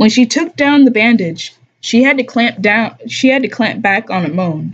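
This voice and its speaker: A woman's fairly high, somewhat breathy voice at a moderate pace, with lively intonation. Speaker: live streamer reading a book aloud while drawing. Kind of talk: casual live stream chat mixed with reading aloud. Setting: live stream broadcast. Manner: casual, laid-back.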